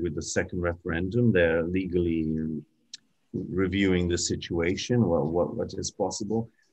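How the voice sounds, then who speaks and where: A man with a very deep, low pitch speaks at a moderate pace over a quiet background. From Britain, Ukrainian parents. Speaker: journalist and historian; journalist. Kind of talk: webinar talk. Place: home room. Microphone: video call.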